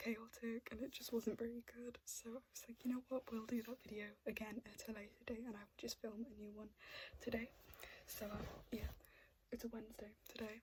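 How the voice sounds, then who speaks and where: A soft-spoken woman at a fairly quick pace, monotone and flat in intonation. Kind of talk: ASMR show-and-tell talk to camera.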